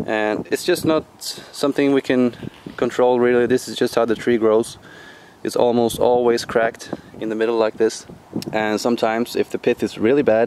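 Over noticeable background noise, a man speaks at a moderate pace in a monotone, flat intonation, the sound dry with no echo. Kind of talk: tutorial. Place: open country. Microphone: phone near.

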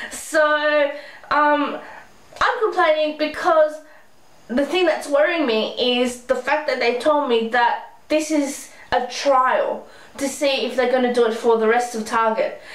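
A woman talks at a fairly slow pace and a high pitch in an Australian accent. Audible room echo surrounds her voice. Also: ordinary pitch variation. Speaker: beauty vlogger. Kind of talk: angry rant, frustrated complaint to camera about store changes. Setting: home video blog, speaking to camera. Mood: frustrated, complaining. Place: home room. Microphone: webcam.

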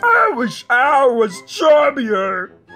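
Over faint background music, a put-on character voice with vocal fry and a bright, sharp tone moves very slowly through big pitch swings.

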